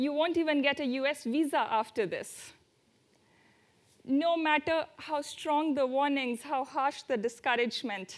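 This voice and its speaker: A woman speaks at a fairly slow pace in a high voice with ordinary pitch variation, on a very clean recording with a silent background. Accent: Indian. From India, near Delhi. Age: 20s. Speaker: student traveler. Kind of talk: talk to audience.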